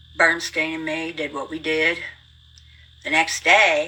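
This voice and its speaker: A woman with an American accent speaks while noticeable background noise carries on. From rural US hill country. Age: 70s. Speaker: livestreamer. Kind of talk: casual storytelling monologue. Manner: fast; animated.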